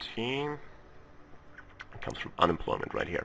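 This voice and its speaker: This man's voice has a bright, sharp tone. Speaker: gaming video creator. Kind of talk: let's play commentary. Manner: halting.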